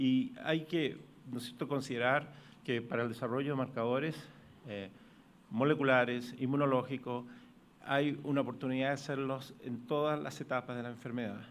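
A man with a Chilean accent speaks at a moderate pace and medium pitch, his intonation fairly even over light background noise. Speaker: pathologist; conference presenter. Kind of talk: conference talk. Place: hall.

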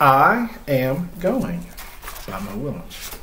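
Slow and medium in pitch, a man speaks with very wide pitch swings in a bright, sharp tone. Faint background noise sits behind him.

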